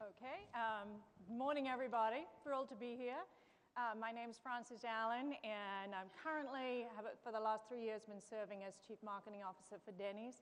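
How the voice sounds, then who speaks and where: The speaker has a slight English accent and a moderate pace with ordinary pitch variation. Background noise is noticeable. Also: woman, fairly high pitch for a woman. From England, London. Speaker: chief marketing officer. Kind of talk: panel discussion.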